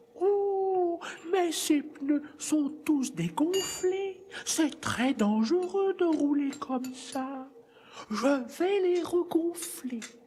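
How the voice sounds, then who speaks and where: In a put-on character voice, the speaker uses a high pitch at a very slow pace. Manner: chatty, fussing.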